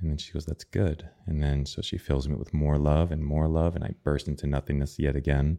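In a dark, mellow tone, a man with an American accent talks at a fairly quick pace with hardly any pauses, his very deep, low pitch held in a flat monotone. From upstate New York. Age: 40s. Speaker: breathwork and meditation coach. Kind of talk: interview conversation. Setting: studio.

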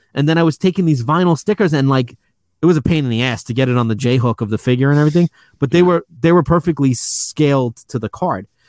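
A man with an American accent speaks at a very fast pace, fairly high in pitch with ordinary pitch variation, in a very clean recording with a silent background. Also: dry, close sound with no echo. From New York City. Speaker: toy shop owner. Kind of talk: casual chat.

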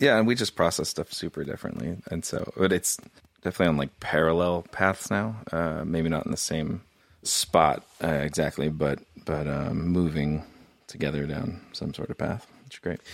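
This man's pitch is very deep and low, with ordinary variation. He speaks at a moderate pace with an American accent. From Southern California (Irvine). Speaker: former pastor and podcaster. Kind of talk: casual chat.

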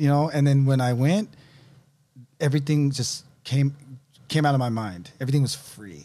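This man's pitch sits fairly high. His tone is dark and mellow. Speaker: fitness coach. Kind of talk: casual chat.

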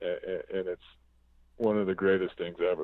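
This man delivers his words at a moderate pace in a monotone, flat intonation. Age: 40s. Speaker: concert photographer. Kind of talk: casual chat.

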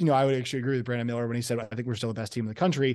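A man speaking against a quiet background. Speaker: college sports podcaster. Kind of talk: roundtable discussion.

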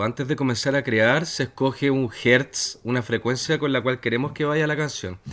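A man speaks with hardly any pauses and fairly even intonation. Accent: Chilean. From Chile. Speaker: musician. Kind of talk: interview.

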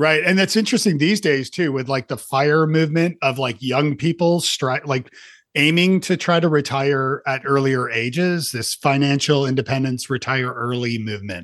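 A man with an ordinary speaking voice and a fairly high pitch talks at a moderate pace with ordinary pitch variation, hardly any pauses and a quiet background. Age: 50s. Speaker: podcast host. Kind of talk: casual interview.

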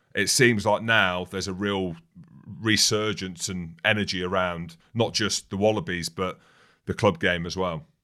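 With an English Midlands accent, a man speaks at a moderate pace. His pitch is very deep and low, and his intonation fairly even. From England, Northamptonshire area. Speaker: rugby podcast co-host, former professional player. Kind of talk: casual chat.

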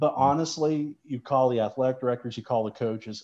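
With an American accent, a man talks at a very fast pace in a dark, mellow tone, using ordinary pitch variation against a quiet background. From West Virginia, St. Mary's. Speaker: sports broadcaster. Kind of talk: casual interview.

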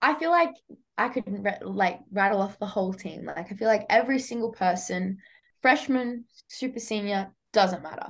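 A woman with an Australian accent speaks at a moderate pace in a medium pitch, somewhat breathy and with lively intonation. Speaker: college athlete. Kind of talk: casual chat. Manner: chatty.

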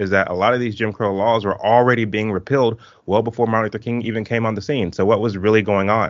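This man's unremarkable speaking voice sits at a fairly low pitch, its intonation fairly even. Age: 30s. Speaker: documentary filmmaker and entrepreneur. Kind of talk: interview.

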